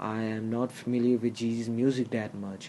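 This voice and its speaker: A man speaks with a non-native accent. His pace is fairly slow and his pitch is medium. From outside the US, another country. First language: not English. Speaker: hip-hop commentary YouTuber. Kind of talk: opinion monologue. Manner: halting, many fillers.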